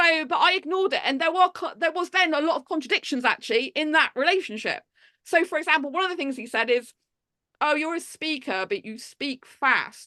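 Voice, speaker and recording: Against a quiet background, a woman talks in a raised, projected voice with a bright, sharp tone at a fairly quick pace. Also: dry, close sound with no echo. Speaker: public speaker. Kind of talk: casual interview. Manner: fast.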